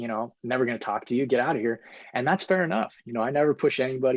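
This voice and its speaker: A man speaks at a medium pitch with an American accent, in an ordinary speaking voice with ordinary pitch variation. The sound is dry and close with no echo, over a quiet background. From Colorado, US. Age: 40s. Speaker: author. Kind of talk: podcast interview.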